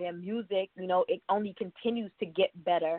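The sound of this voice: A woman talks at a fairly quick pace with ordinary pitch variation, the sound dry and close with no echo. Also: fairly low pitch for a woman.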